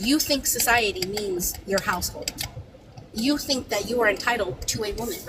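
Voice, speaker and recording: Animated in tone, a woman speaks at a moderate pace with lively intonation and a fairly high pitch over noticeable background noise. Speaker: panel speaker. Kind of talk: heated debate.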